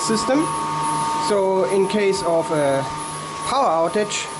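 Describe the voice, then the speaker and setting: Someone speaks at a fairly slow pace through loud background noise. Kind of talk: tour explanation. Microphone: phone near.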